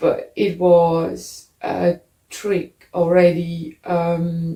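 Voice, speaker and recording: Dark and mellow, a woman's fairly low voice comes out somewhat breathy. She speaks at a very slow pace in a monotone, flat intonation. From Netherlands. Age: 50s. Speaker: interviewee telling her story. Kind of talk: testimony. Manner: halting.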